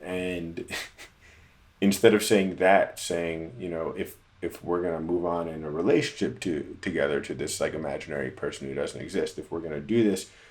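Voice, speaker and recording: A very deep, low-pitched man at a moderate pace. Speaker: musician and producer. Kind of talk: tutorial. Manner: halting.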